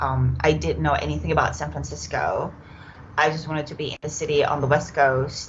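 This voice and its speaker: Moderate pace, with audible room echo. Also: woman. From Czech Republic. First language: Czech. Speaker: yoga teacher. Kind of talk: podcast interview. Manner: hesitant, many fillers.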